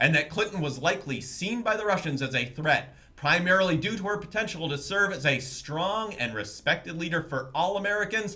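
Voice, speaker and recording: The speech moves at a fairly quick pace with lively intonation and hardly any pauses. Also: man, high pitch for a man. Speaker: fake news anchor / co-anchor. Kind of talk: satirical TV news anchor read.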